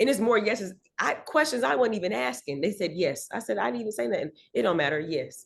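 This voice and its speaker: This woman speaks very fast with an American accent and vocal fry. Her medium-pitched voice swings very widely in pitch. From Miami, Florida. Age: 30s. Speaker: singer. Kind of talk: casual interview chat.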